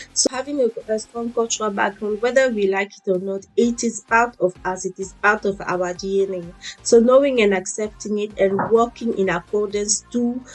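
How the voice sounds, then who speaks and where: A woman with an African accent, fairly high in pitch, at a moderate pace with hardly any pauses and fairly even intonation, music in the background. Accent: African accent kept when speaking. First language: an African language. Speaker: fitness and motivation vlogger. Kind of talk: motivational talk.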